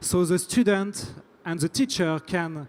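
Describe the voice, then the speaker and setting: A man with a French accent talks at a fairly slow pace. His pitch is high, with ordinary pitch variation. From France. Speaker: startup founder. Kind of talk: pitch presentation. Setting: stage at tech event. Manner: halting, repeats words.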